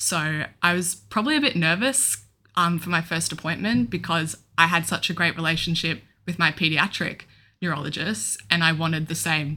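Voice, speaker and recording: On a very clean recording with a silent background, a woman speaks in an Australian accent. Her voice is fairly low, bright and sharp, with ordinary pitch variation. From Australia, Melbourne. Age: 20s. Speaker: young adult with epilepsy, podcast co-host. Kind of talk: casual chat.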